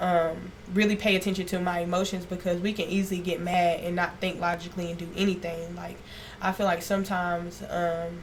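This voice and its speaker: With audible room echo, a woman of fairly low pitch talks at a fairly quick pace in a monotone, flat intonation. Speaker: esthetician. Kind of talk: podcast interview. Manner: naturally loud.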